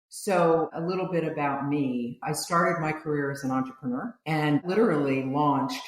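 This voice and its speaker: A woman speaks at a very deep, low pitch and a moderate pace with ordinary pitch variation. Noticeable background noise and audible room echo fill the recording. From US, Italian-American family. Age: 70s. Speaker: business founder and author. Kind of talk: podcast interview.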